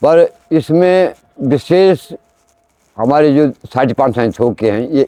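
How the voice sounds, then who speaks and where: Recorded dry and close with no echo, a man with a dark, mellow tone and medium pitch speaks with lively intonation and big swings in loudness. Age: 60s. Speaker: temple oracle / deity medium. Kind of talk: interview. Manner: halting.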